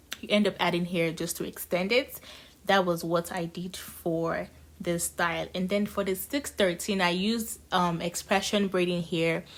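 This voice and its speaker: The intonation stays fairly even. It is a woman's voice, fairly low in pitch. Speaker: hair braider. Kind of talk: tutorial. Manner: fast.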